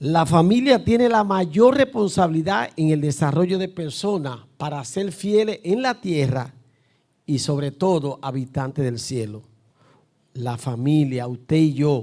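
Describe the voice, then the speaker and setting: Speaking at a fairly slow pace with a Dominican accent, a man uses a fairly high voice that swings very widely in pitch. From Dominican Republic. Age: 60s. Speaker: pastor. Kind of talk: sermon. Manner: emphatic.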